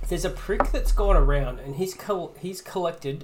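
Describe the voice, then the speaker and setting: A man speaks with an Australian accent at a moderate pace and ordinary pitch variation. Noticeable background noise and audible room echo fill the recording. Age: 30s. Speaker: podcast co-host. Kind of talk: casual chat.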